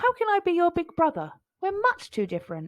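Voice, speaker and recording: A woman puts on a squeaky character voice at an extremely high pitch. She talks at a fairly quick pace. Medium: read story. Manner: calm, kindly, protective.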